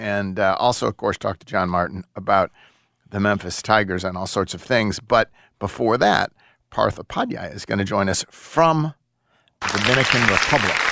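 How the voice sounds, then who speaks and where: A man's fairly low voice with a bright, sharp tone and ordinary pitch variation, dry and close with no echo, on a very clean recording with a silent background. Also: moderate pace. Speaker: sports radio host. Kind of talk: sports talk radio. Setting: studio.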